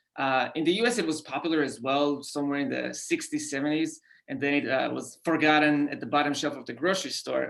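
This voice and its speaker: A man with an Israeli accent speaks at a moderate pace in a fairly high pitch. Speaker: company founder. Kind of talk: podcast interview. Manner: hesitant, many fillers.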